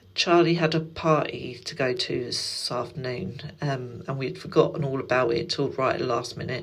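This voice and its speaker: An English accent at a moderate pace, with ordinary pitch variation and audible room echo. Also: woman. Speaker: stay-at-home mum vlogger. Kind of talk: casual vlog chat.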